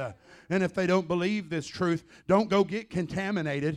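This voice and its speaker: A man with a Southern US accent, high pitch and an animated tone, on a very clean recording with a silent background. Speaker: visiting preacher. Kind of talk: sermon, preacher in full flow, fervent charismatic delivery with call-and-response. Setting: church. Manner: animated, impassioned, emphatic, punctuated with Amens and exclamations; blunt, conversational, storytelling with vivid analogies.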